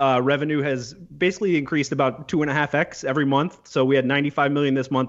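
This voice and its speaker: Here a man speaks at a very fast pace. His medium-pitched voice keeps fairly even intonation. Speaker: podcast co-host. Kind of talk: casual chat.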